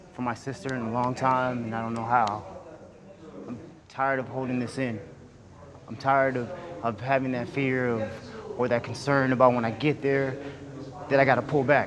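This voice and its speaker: Over noticeable background noise, a man talks at a moderate pace with fairly even intonation and long, frequent pauses. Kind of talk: emotional personal confession to a group. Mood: emotional, vulnerable, pleading. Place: hall.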